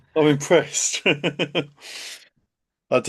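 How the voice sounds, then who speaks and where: Against a quiet background, a man talks at a fairly slow pace in a southern English accent. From England, Kent. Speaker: accountant and CFO hosting a live webinar. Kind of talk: live webinar presentation. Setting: live stream video call. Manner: hesitant, many fillers.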